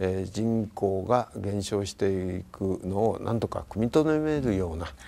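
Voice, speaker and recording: The voice has a dark, mellow tone with ordinary pitch variation, moving at a fairly slow pace. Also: man. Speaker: prefectural governor; guest. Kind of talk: interview talk show. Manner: measured, formal. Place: home room.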